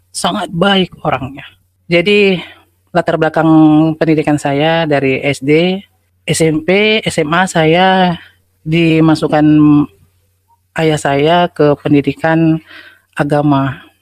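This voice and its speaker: Speaking in a Sumatran accent, a woman with a very deep, low pitch talks very slowly and fairly evenly, with long, frequent pauses. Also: very even loudness. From North Sumatra (Asahan). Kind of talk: testimony.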